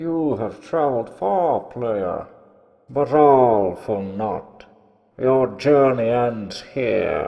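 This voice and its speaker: Very slow, medium-pitched speech in a man's put-on character voice. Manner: menacing, angry.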